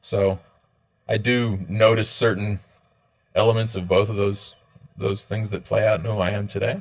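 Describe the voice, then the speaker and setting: Somewhat breathy and fairly low in pitch, a man with an American accent talks at a moderate pace in a monotone, flat way, with long, frequent pauses. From Australia, moved there from the US at nine. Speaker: entrepreneur, tech company founder. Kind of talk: podcast interview.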